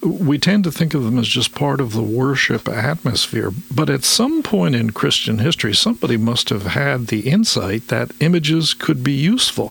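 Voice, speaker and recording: A normal speaking voice from a man at medium pitch and a moderate pace. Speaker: radio host. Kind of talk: radio interview. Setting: studio. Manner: formal.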